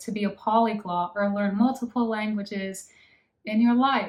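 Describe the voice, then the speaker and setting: In an American accent, a woman with a fairly high pitch and a normal speaking voice talks at a fairly slow pace. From United States. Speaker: language-learning vlogger. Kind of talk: casual monologue to camera.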